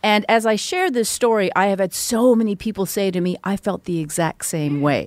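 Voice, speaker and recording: In a plain, everyday voice, the speaker goes at a moderate pace with ordinary pitch variation and hardly any pauses, recorded dry and close with no echo. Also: woman, medium pitch for a woman. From Vancouver, western Canada. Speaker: music industry executive and author. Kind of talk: interview conversation.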